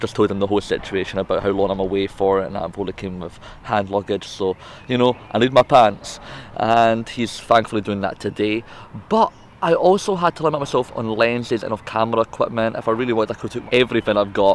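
A man at a very fast pace, dry sound with no echo, light background noise. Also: ordinary pitch variation. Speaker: travel vlogger. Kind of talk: casual vlog chat. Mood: light, joking. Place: garden. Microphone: phone near.

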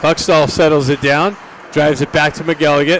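Over light background noise, a man talks at a fairly high pitch with fairly even intonation, and the sound is dry with no echo. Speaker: hockey play-by-play announcer. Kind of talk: live play-by-play commentary. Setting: live at the rink. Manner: shifts to relaxed, laughing banter with coaches when play stops. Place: stadium.

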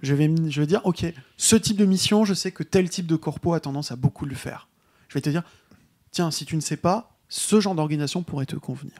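Heard in a dry, close sound with no echo, a man speaks at a fairly quick pace in a fairly high pitch with ordinary pitch variation. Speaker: game designer. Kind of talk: casual discussion.

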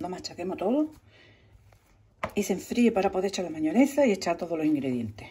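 A woman talks at a fairly low pitch and a fairly quick pace, with big pitch swings. Her tone is dark and mellow, with a husky, rough edge.

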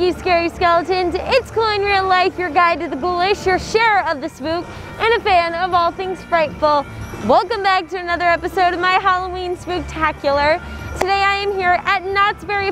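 A woman's extremely high-pitched voice at a moderate pace with fairly even intonation, dry with no echo, over clear background music. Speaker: vlogger host. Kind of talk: casual vlog chat. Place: street.

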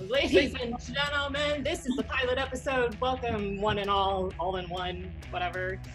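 Over clear music in the background, a woman at medium pitch talks at a moderate pace with hardly any pauses. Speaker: professional wrestler. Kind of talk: podcast conversation. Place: home room. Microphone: studio mic.

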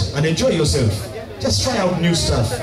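Clear music sits in the background. A man talks over it. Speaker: event MC. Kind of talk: MC stage announcement. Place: stage. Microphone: pa.

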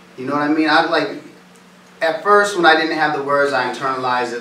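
A man speaks with an American accent, with audible room echo and light background noise. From US Northeast, East Hartford, Connecticut; Connecticut. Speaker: motivational speaker. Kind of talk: talk to students. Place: classroom. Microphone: camera far.

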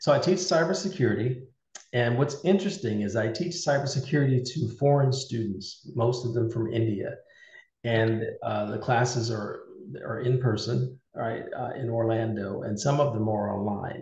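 Against a quiet background with audible room echo, a somewhat breathy man speaks with ordinary pitch variation. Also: moderate pace. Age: 50s. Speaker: cybersecurity leader and military veteran. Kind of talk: interview. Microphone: video call.

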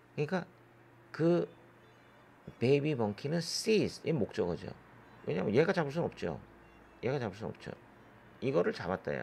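A man speaks with vocal fry at a fairly high pitch, his pitch swinging very widely. He leaves long, frequent pauses. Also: moderate pace. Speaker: English exam tutor. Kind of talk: lecture.

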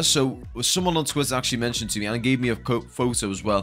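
A man's fairly quick, lively speech over music in the background. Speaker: stadium update narrator. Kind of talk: commentary.

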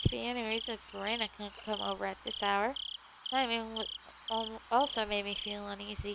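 This is a natural reading voice. It stays that way throughout.

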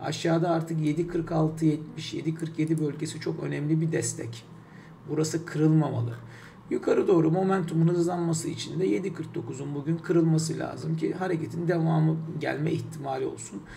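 With a dark, mellow tone and a fairly high pitch, a man speaks at a moderate pace and fairly even intonation over light background noise. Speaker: financial markets commentator; market commentator. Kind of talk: market analysis talk. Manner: hesitant with many fillers; unedited one-take delivery. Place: home room. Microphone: webcam.

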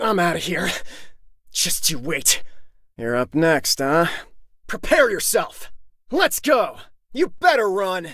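Using a put-on character voice, a man speaks high and slow with lively intonation, a fairly bright tone and long, frequent pauses.

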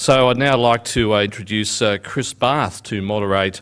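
A man with an Australian accent, fairly low in pitch, at a fairly slow pace, with ordinary pitch variation. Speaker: business editor, conference MC; event host. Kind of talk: conference opening announcements. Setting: conference stage with audience. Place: hall. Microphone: podium.

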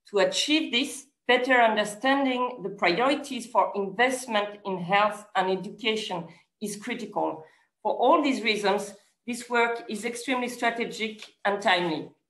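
A woman talks with ordinary pitch variation amid audible room echo. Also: moderate pace. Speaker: event moderator. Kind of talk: formal opening remarks. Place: office. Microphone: video call.

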